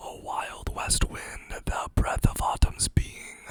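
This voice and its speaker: A very slow whisper, with noticeable background noise behind it. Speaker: ASMR creator. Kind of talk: ASMR poetry reading. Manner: whispered.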